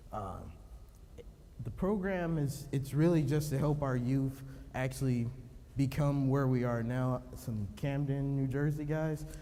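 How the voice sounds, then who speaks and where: Speaking at a fairly slow pace, a man with a fairly high pitch is heard with audible room echo. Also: ordinary pitch variation. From Cleveland, Ohio. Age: 20s. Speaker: police officer and youth program founder. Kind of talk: conference speech. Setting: stage with audience.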